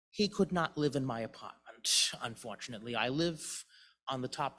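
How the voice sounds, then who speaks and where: A man is speaking here. He has a Boston accent. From Boston, US. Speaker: memorial service speaker. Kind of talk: eulogy. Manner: halting, many false starts.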